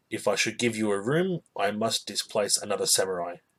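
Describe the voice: Reading aloud, plain and simple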